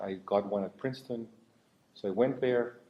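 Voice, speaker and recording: The man speaks at a moderate pace. He has a Spanish accent. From Mexico (Mexico City). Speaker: mathematics professor. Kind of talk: panel discussion.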